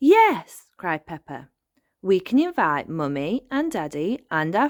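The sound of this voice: Behind the voice, the background stays quiet. It is an unforced reading voice.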